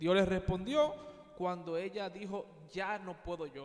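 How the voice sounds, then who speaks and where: Speaking fairly slowly with a Dominican accent, a man uses a high voice with ordinary pitch variation. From Dominican Republic, Santo Domingo. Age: young. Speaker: preacher. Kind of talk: interview.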